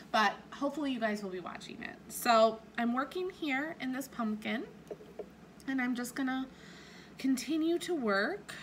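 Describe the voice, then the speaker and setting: A woman's high voice with lively intonation, at a moderate pace, broken by long, frequent pauses. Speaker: cross-stitch YouTuber. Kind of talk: casual craft vlog. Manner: hesitant, many fillers.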